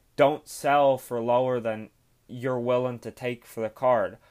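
On a very clean recording with a silent background, a man with an Irish accent and a medium pitch speaks at a moderate pace. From Ireland. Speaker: sports card collector and podcaster. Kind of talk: casual solo podcast tutorial. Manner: casual, hesitant with fillers.

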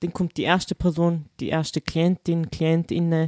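This woman talks at a fairly slow pace with a fairly low pitch, a dark, mellow tone and monotone, flat intonation, the sound dry and close with no echo. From Vorarlberg, Austria. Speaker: school social worker. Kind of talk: casual chat.

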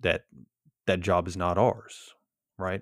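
On a very clean recording with a silent background and a dry, close sound with no echo, a man speaks at a moderate pace with a very deep, low pitch. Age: 40s. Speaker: podcast host and police officer. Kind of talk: solo podcast monologue. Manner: casual, with frequent fillers.

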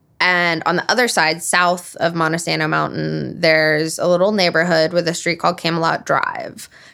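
In a very clean recording with a silent background, a woman with a bright, sharp tone and vocal fry speaks at a moderate pace in a fairly low, monotone, flat voice. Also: very even loudness. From Alabama. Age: 30s. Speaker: podcast co-host. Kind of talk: casual chat.

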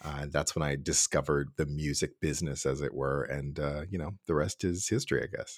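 A man with an American accent talks at a fairly quick pace, hardly pausing, in a very deep, low pitch with vocal fry. His intonation is fairly even, and the sound is dry and close with no echo. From Cincinnati, Ohio, US Midwest. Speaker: orchestra administrator, former horn player. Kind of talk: casual interview conversation.

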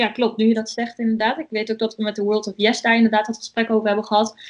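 A woman's fairly high voice over a quiet background. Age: 20s. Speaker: student. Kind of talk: podcast interview.

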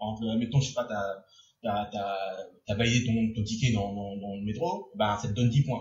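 A man speaks at a moderate pace with a fairly low pitch and ordinary pitch variation. His voice is somewhat breathy. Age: 20s. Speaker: podcast host. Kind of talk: casual chat. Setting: bar-themed studio. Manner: animated.

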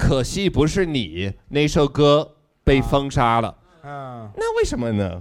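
Lively intonation in an English accent at a very slow pace. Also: man, fairly high pitch for a man. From United States. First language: English (speaking Chinese). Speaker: political satire YouTuber. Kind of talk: live comedic interview.

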